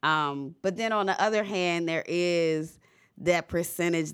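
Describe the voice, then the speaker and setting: A woman with an American accent at a fairly slow pace, on a very clean recording with a silent background. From Virginia, Charles City. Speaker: clothing brand founder. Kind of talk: casual interview. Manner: animated.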